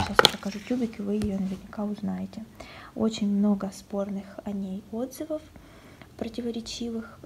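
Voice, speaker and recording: Noticeable background noise accompanies speech at a moderate pace with fairly even intonation and long, frequent pauses. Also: woman, medium pitch for a woman. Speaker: beauty vlogger. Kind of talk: casual talk to camera, unboxing vlog. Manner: soft-spoken.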